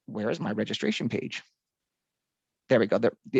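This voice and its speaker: The speech moves at a fairly quick pace, with a dry sound with no echo and a quiet background. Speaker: software trainer. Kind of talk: tutorial. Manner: fast. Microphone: video call.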